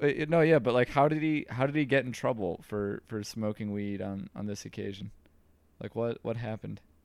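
Using an American accent, a man with an unremarkable speaking voice talks at a fairly quick pace in a medium pitch with ordinary pitch variation. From New York. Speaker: podcast host. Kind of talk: casual chat.

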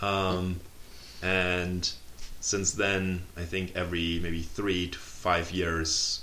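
A very deep, low male voice in a German accent, bright and sharp in tone, with monotone, flat intonation. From Germany. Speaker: PhD student. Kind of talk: casual interview.

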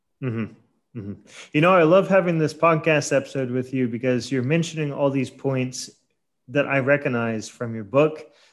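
Speaking at a moderate pace, the man has a fairly high pitch, ordinary pitch variation, and an unremarkable speaking voice. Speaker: podcast host. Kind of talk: casual interview. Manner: casual, friendly.

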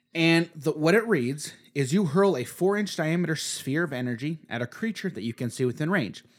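Speaking in an unremarkable speaking voice, a man with fairly high pitch moves at a fairly quick pace with lively intonation and hardly any pauses. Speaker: podcast host. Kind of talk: casual chat.

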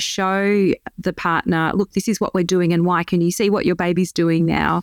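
A woman with an Australian accent talks at a moderate pace with a fairly low pitch and monotone, flat intonation, in a dry, close sound with no echo on a very clean recording with a silent background. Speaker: dietitian and lactation consultant. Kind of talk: interview.

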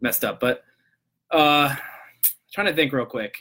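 Speaking at a very fast pace, a man has a fairly high pitch, a bright, sharp tone and ordinary pitch variation. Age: 20s. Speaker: live stream host, real estate investor. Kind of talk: casual live stream monologue. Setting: live stream on social media. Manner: casual, filler-heavy.

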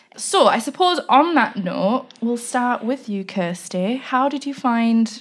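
In a plain, everyday voice, a woman speaks at a fairly high pitch with lively intonation. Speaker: podcast host. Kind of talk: casual chat about a story.

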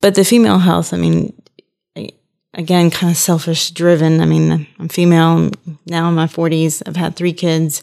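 A woman talks at a moderate pace with a fairly low pitch. Her tone is dark and mellow, and her intonation fairly even. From New Orleans, Louisiana. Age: 40s. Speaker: family medicine doctor. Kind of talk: interview, casual chat.

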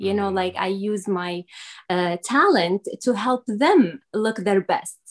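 A woman with an Arabic accent at a fairly slow pace, in a dry, close sound with no echo. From Syria. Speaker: makeup artist and business owner. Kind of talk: interview. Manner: halting.

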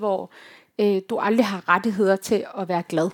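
A woman speaks in a plain, everyday voice at a fairly slow pace with ordinary pitch variation, recorded very cleanly against a silent background. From Denmark, Herning (West Jutland). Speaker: youth organisation leader and activist. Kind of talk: live panel conversation.

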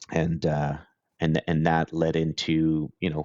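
In a Cape Breton accent, a man talks with a very deep, low pitch and monotone, flat intonation. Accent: Cape Breton Canadian. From Cape Breton, Nova Scotia, Canada. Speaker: independent IT consultant. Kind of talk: casual interview. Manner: halting, many fillers.

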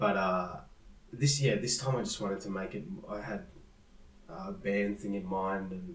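With an Australian accent, a man talks through long, frequent pauses over noticeable background noise. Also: fairly low pitch for a man, ordinary pitch variation, moderate pace. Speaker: musician. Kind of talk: casual interview chat.

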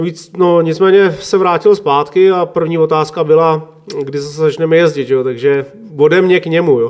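A man talks at a moderate pace with a fairly high pitch and fairly even intonation. Noticeable background noise runs beneath his voice. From Czech Republic, Klatovy area (West Bohemia). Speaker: motorcycle racing mechanic. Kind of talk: interview. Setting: home kitchen.

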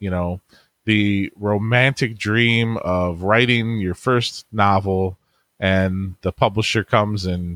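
Recorded very cleanly against a silent background, a man speaks in a normal speaking voice at a fairly low pitch with fairly even intonation, the sound dry and close with no echo. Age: 40s. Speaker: internet marketer and author. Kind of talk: interview.

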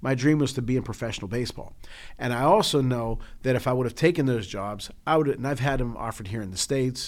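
In a normal speaking voice with an American accent, a man of medium pitch talks with ordinary pitch variation. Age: 50s. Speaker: podcast co-host. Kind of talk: casual chat.

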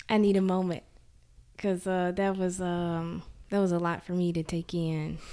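In a Mississippi accent, a woman speaks with a fairly low pitch and a dark, mellow tone, using monotone, flat intonation at a moderate pace. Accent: US Southern (Mississippi). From Jackson, Mississippi. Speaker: podcast host. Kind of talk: casual interview.

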